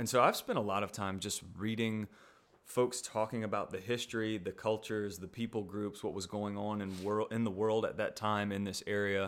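Monotone, flat intonation from a man with a fairly low pitch, at a moderate pace. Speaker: co-host, Bible study discussant. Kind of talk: casual conversation.

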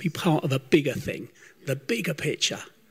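A somewhat breathy man with a fairly high pitch. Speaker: church member leading prayer. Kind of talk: spoken prayer. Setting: church service.

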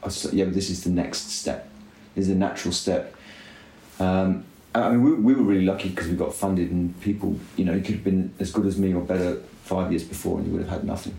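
A man's very deep, low, dark and mellow voice, somewhat breathy, at a very fast pace with audible room echo. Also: fairly even intonation. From UK. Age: 30s. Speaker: cycling team director. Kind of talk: casual chat. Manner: quiet and considered.

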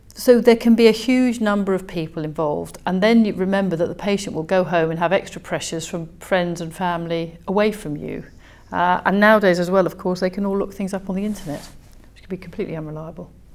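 A woman at medium pitch talking at a very fast pace, loudness swinging widely, pitch varying in an ordinary way. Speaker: consultant vascular surgeon. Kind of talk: interview.

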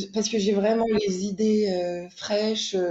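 Speaking at a very slow pace, a woman uses a medium pitch and a monotone, flat intonation. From France, Jura. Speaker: illustrator. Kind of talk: casual interview. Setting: remote recording. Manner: hesitant, many fillers.

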